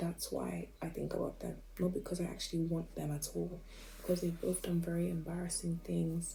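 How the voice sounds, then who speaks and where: Someone whispers at a moderate pace, with audible room echo around the voice. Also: woman. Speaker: vlogger. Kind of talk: casual monologue. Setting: at home at night. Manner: whispering.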